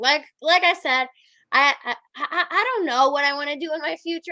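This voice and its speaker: A woman's raised, projected voice, animated and bright, sharp in tone, at a moderate pace. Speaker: podcast host. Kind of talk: casual chat. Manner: loud.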